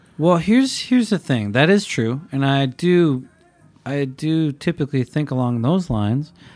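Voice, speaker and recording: A fairly high-pitched man's voice at a moderate pace, with lively intonation. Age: 30s. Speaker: podcast co-host. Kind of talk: casual chat.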